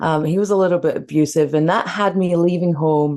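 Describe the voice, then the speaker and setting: With a Scottish accent, the speaker keeps a moderate pace, fairly even intonation and a dark, mellow tone. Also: woman. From Scotland. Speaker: leadership mentor. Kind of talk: interview.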